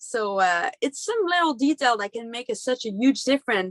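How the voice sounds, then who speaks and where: In a Quebec accent, a woman speaks with a high pitch, a passionate tone, and lively intonation at a moderate pace, recorded with a dry, close sound and no echo. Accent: Québécois French-accented English. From Quebec, Canada. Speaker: monster truck driver. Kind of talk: interview answer.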